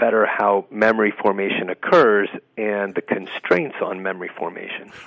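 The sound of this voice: The man talks at a moderate pace with a fairly low voice.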